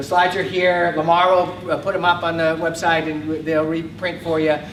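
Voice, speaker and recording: A man with a New York accent talks at a fairly quick pace in a high, monotone, flat voice. Audible room echo and noticeable background noise fill the recording. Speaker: research director and speaker. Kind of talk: conference talk. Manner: fast.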